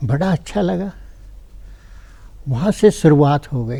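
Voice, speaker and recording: A man speaks with a dark, mellow tone. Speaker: writer and blood donation activist. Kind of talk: TV interview.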